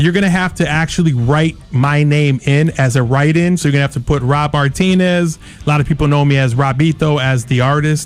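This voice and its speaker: A man with an American accent and a normal speaking voice talks at a fairly quick pace with hardly any pauses, using a fairly high pitch, fairly even intonation and very even loudness. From Kalamazoo, Michigan, US. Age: 40s. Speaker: mayoral candidate and artist. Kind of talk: interview.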